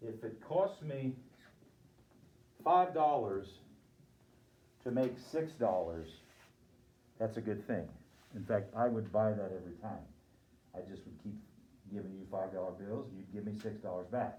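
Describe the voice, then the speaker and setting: Amid audible room echo, a man with a fairly low pitch and a dark, mellow tone sounds somewhat breathy, speaking at a moderate pace with long, frequent pauses. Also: lively intonation, big swings in loudness. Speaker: lecturer on sport finance. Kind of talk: lecture.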